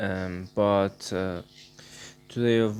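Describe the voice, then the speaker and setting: A man speaks with a Persian accent in a fairly low pitch. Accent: Persian accent, non-native English. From Iran. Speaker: art channel creator. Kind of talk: casual vlog talk. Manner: halting, many fillers. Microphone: recording voice only due to broken laptop.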